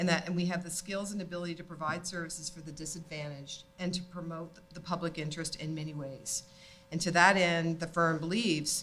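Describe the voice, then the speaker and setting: Faint music sits in the background as the voice runs at a fairly quick pace in a monotone, flat intonation. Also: woman, fairly low pitch for a woman. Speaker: panellist. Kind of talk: panel discussion remarks. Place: hall. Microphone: studio mic.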